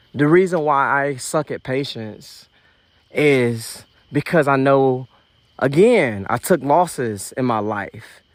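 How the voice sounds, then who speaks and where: With a fairly high pitch that varies normally, a man speaks very slowly. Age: 30s. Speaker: podcast host. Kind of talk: casual monologue. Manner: animated.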